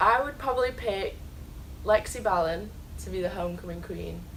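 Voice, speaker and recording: Someone talks with an English accent. The room echo is audible, and there is noticeable background noise. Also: woman. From England. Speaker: college soccer player. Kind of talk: interview. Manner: hesitant, many ums.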